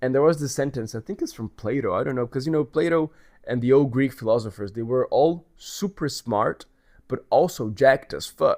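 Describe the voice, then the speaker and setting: Here a man speaks with a Portuguese accent. The sound is dry and close with no echo, on a very clean recording with a silent background. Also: medium pitch for a man, ordinary pitch variation, moderate pace. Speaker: vlogger. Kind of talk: casual monologue vlog.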